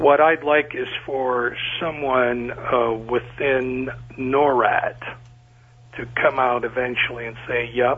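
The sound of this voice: A man's medium-pitched voice with little pitch movement.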